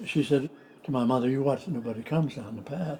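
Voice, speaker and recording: Somewhat breathy and dark, mellow in tone, a man's voice sits at a fairly high pitch with ordinary pitch variation. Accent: American. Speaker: retired country doctor. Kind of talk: family storytelling. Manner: casual, anecdotal.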